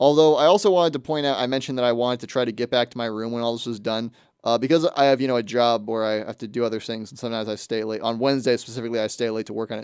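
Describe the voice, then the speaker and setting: This man talks at a very fast pace with hardly any pauses, using a medium pitch and fairly even intonation. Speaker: student radio host. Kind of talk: casual monologue. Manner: many filler words.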